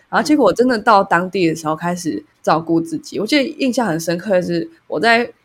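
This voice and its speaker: At a very fast pace and with hardly any pauses, a woman's medium-pitched voice moves through very wide pitch swings. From Taiwan, Taipei. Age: 20s. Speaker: podcast co-host. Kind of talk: casual chat.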